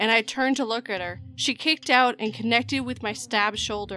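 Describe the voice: This is plain reading aloud. The text is read out as is.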